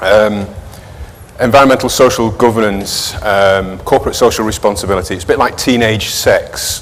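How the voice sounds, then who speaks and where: At a moderate pace and medium pitch, a man talks with ordinary pitch variation amid audible room echo and noticeable background noise. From northern England, Manchester. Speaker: sustainability manager at an investment firm. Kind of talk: conference presentation. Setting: conference stage with audience.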